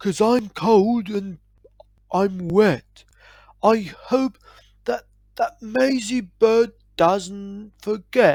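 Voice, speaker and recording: In a put-on character voice pitched fairly high, the speaker goes very slowly with long, frequent pauses. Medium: read story. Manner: earnest, steadfast.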